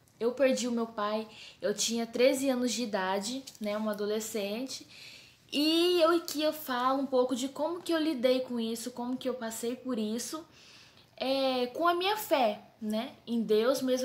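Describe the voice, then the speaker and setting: A woman speaks with a São Paulo accent. Her voice is high, and her pace is moderate. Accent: paulista accent (São Paulo). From Brazil, São Paulo. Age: 20s. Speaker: theology student and book co-author. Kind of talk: casual talk to camera. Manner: informal, chatty.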